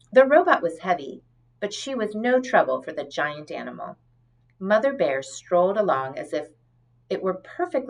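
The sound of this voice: The clip has an unforced reading voice. That voice runs from start to finish.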